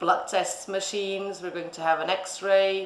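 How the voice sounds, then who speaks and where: Speaking at a fairly slow pace and medium pitch, a woman is heard with noticeable background noise and audible room echo. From Portugal, Lisbon. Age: 30s. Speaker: vet. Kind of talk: interview. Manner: halting, many fillers.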